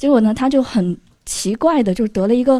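A woman speaks with a fairly high pitch and a dark, mellow tone. Her intonation is lively. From Kunming, Yunnan. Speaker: audience member, internet worker. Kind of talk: personal story.

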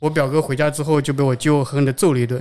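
The speech comes very fast, recorded very cleanly over a silent background. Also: man. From Zhejiang, China. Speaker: software architect. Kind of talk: casual chat at live event. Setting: live recording at developer conference.

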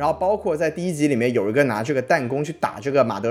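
With lively intonation, a man speaks as noticeable noise carries on behind him. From Guangdong, southern China. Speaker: podcast host. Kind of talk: casual chat, TV drama review.

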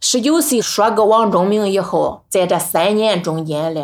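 A woman speaks with a Henan accent on a very clean recording with a silent background. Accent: some Henan. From rural Henan, Nanyang. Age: 50s. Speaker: farm woman and poet. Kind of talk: personal testimony.

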